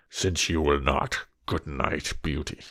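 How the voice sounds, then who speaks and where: In a put-on character voice, a man growls in a gruff, very deep, low pitch at a fairly slow pace. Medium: read story. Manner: gruff, gentle.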